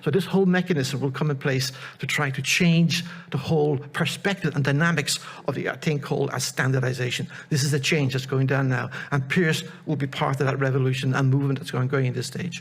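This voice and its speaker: Audible room echo surrounds a man's voice. He talks at a fairly quick pace and a fairly high pitch. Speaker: project presenter, researcher. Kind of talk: conference presentation. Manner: fast; animated.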